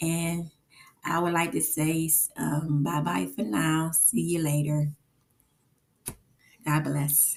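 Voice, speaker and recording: Very slow and marked by long, frequent pauses, a woman's voice comes out very deep, low and somewhat breathy, with ordinary pitch variation. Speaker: book vlogger. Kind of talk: casual vlog talk. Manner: hesitant, many fillers.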